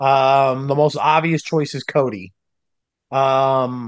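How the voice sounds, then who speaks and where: A man speaks very slowly in a medium pitch. The background is quiet. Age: 30s. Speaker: wrestling commentator. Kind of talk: casual chat.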